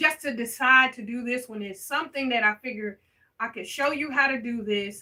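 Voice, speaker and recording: A woman with an unremarkable speaking voice, at a moderate pace with ordinary pitch variation. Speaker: balloon decorator teaching on a livestream. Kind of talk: live tutorial with chat reading.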